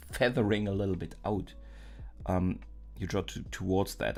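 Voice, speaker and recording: Music plays behind a man with a very deep, low voice. He speaks with a non-native accent. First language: not English. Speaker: art streamer. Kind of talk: live stream drawing tutorial. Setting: live stream, door closed. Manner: halting, many fillers.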